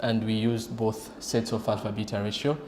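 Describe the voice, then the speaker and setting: The speech moves at a moderate pace. Room echo is audible. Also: man. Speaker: radiation oncologist. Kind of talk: conference presentation. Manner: halting.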